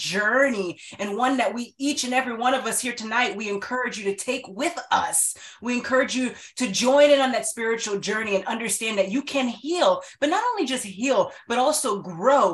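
A woman's high-pitched voice at a fairly quick pace, with hardly any pauses, ordinary pitch variation and noticeable background noise. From US, Haitian-American family. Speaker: author, life coach, event organizer. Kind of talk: event welcome and closing remarks. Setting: video call.

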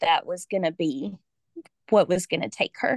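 Her accent is Southern US. The woman's voice has a medium pitch. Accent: Southern American. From Georgia, US South. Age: 40s. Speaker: special education teacher, grieving daughter. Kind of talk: personal testimony in interview.

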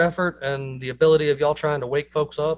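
A man's voice sits at a fairly high pitch. The intonation remains fairly even. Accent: Southern US. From US South. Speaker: podcast host. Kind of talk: casual chat.

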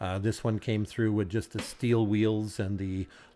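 A man with a Canadian prairie accent speaks fairly slowly in a fairly low voice, his intonation monotone and flat. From rural Saskatchewan, Canada. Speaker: retired farmer and car collector. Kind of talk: casual interview.

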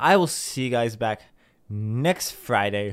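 Behind the voice is a silent background on a very clean recording. The speaker is a man whose pitch varies in an ordinary way. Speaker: podcast host. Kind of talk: casual solo podcast monologue. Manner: halting, many fillers and restarts.

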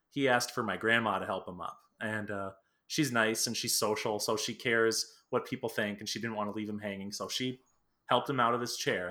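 This man's voice has a bright, sharp tone and a medium pitch. His intonation stays fairly even. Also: very clean recording, silent background. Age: 30s. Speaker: podcast host, musician. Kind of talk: casual chat.

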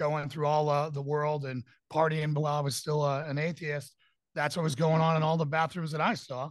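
Against a quiet background, a man speaks fairly quickly at a fairly high pitch, his intonation monotone and flat. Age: 50s. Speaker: pastor and security consultant. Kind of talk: debate-style interview. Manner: halting with fillers.

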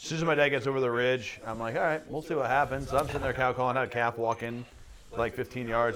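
The pace is very fast. Noticeable background noise sits behind the voice. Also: man. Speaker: elk hunter. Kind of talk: casual chat.

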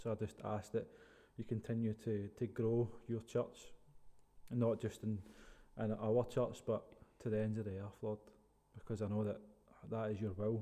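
A man with a Scottish accent speaks at a fairly low pitch in a dark, mellow tone, monotone and flat, at a moderate pace with long, frequent pauses. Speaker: podcast host. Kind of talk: casual interview.

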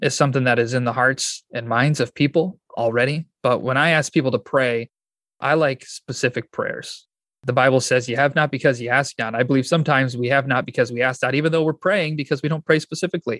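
Over a quiet background, a man with an American accent uses an ordinary speaking voice at a fairly quick pace, his intonation fairly even and the sound dry and close, with no echo. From Michigan, US. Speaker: pastor and church planter. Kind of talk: interview.

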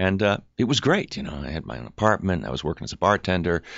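Using lively intonation and vocal fry, a man talks at a very fast pace. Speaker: actor. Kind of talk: casual chat.

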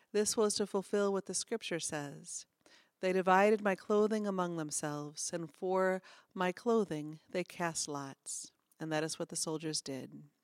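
A woman with a plain, everyday voice and a medium pitch talks at a fairly slow pace in a dry, close recording with no echo. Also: ordinary pitch variation. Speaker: pastor. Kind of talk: scripture reading. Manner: formal; slow, solemn.

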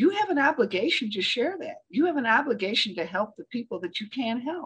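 A woman speaks with an American accent at a moderate pace. Her voice is somewhat breathy, with very wide pitch swings. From Michigan, US Midwest. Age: 80s+. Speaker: speaking coach. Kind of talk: interview.

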